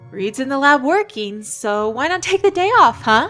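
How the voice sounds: Over faint background music, a woman performs a put-on character voice, high-pitched with a bright, sharp tone and big pitch swings, at a moderate pace.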